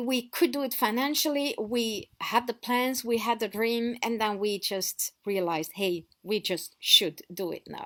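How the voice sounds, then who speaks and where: A woman with a French accent, fairly high-pitched and lively in intonation, at a fairly slow pace on a very clean recording with a silent background. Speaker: off-grid lifestyle vlogger. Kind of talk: casual storytelling vlog. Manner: conversational with fillers and restarts.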